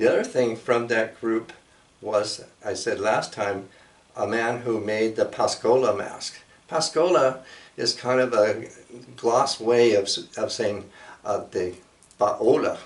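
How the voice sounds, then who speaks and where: Against noticeable background noise, a man with an American accent talks at a very slow pace with long, frequent pauses. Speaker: storyteller and cultural presenter. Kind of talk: casual talk show explanation. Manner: halting with fillers.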